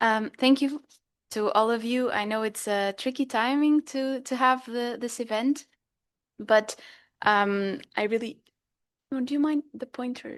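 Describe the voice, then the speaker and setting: In a quiet background, a woman with a high pitch and fairly even intonation speaks at a fairly slow pace, with long, frequent pauses. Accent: Portuguese. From Portugal. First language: Portuguese. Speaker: dietitian. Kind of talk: workshop talk. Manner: hesitant, with fillers.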